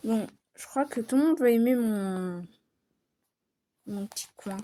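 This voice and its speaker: A woman with a fairly high pitch and a dark, mellow tone speaks at a very slow pace. Her loudness swings widely. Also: ordinary pitch variation. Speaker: gaming youtuber. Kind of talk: casual let's-play commentary.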